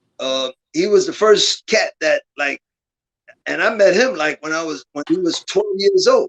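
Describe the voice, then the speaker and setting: Recorded dry and close with no echo, a man with an American accent speaks at a fairly slow pace. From Brooklyn, New York. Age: 60s. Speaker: calisthenics competition organizer. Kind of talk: podcast interview. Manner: halting, many repeated words.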